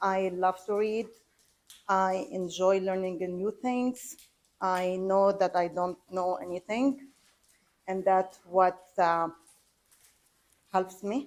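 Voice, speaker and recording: With a Lebanese accent, a woman speaks at medium pitch and fairly even intonation. Her pace is very slow, with long, frequent pauses. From Lebanon. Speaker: real estate trainer and coach. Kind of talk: class introduction.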